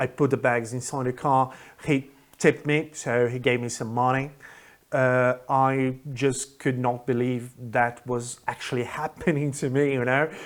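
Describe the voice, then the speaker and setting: Speaking rather slowly, a man keeps his mid-range voice in a flat monotone. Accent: Brazilian. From Brazil. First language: Portuguese. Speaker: English teacher. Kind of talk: casual storytelling to camera. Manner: casual, hesitant.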